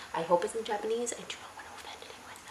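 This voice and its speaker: A woman's very fast speech with ordinary pitch variation over noticeable background noise. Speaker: YouTuber. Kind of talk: casual chat. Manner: halting.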